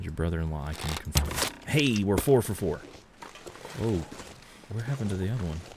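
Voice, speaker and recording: Someone with an American accent speaks at a fairly quick pace, with lively intonation and long, frequent pauses. Noticeable background noise runs underneath. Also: man, very deep, low pitch for a man. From US South, Georgia. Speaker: video game streamer. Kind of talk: casual gameplay commentary. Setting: live stream.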